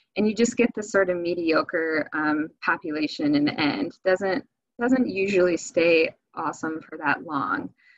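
A woman's normal speaking voice, fairly low in pitch, with lively intonation, an American accent, a fairly slow pace and a quiet background. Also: dry sound with no echo. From Michigan. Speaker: fisheries biologist; presenter. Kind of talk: webinar presentation. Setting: video call. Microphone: webcam.

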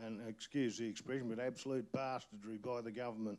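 The man's tone is dark and mellow, his intonation fairly even. He moves at a fairly quick pace. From outback New South Wales. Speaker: community activist. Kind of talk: panel discussion. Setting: stage with audience. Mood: angry, indignant. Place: hall. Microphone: handheld.

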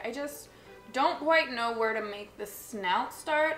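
Audible room echo around a woman's speech. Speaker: makeup artist vlogger. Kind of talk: casual tutorial chat.

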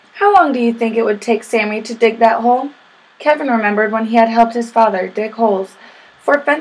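What we hear is plain reading aloud.

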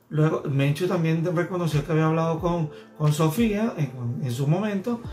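Clear music plays behind a man with a fairly high pitch. He keeps a moderate pace with ordinary pitch variation. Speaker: vlogger, celebrity news commentator. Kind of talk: casual talk to camera, vlog commentary. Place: home room.

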